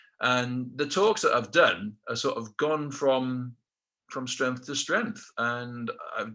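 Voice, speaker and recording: This man speaks at a very slow pace in a South Welsh accent. His medium-pitched voice has a bright, sharp tone. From South Wales, Rhondda Valley. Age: 50s. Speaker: motivational speaker, ex-military aircrew. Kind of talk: motivational talk. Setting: webinar.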